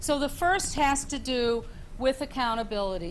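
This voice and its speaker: Her pitch high, a woman speaks with audible room echo. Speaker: panelist, leadership professor. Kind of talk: panel discussion.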